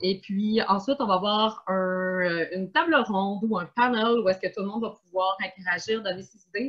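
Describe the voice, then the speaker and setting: A woman speaks with a strong Quebec accent. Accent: strong Québécois. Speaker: event host, museum community organizer. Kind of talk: online panel moderation.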